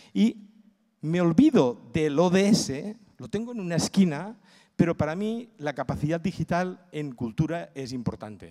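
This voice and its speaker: Against a quiet background, a man speaks in a high, dark, mellow voice. His intonation is lively and his pace fairly slow. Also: big swings in loudness. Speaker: cultural management consultant and lecturer; conference speaker. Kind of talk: conference talk. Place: hall. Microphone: handheld.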